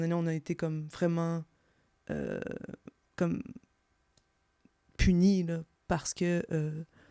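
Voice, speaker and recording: A woman's fairly low, dark, mellow voice at a very slow pace, monotone and flat, with long, frequent pauses, on a very clean, dry, close recording with no echo and a silent background. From eastern Ontario, Franco-Ontarian (Bourget village). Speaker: podcast guest. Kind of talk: interview. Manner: halting, many fillers and repetitions.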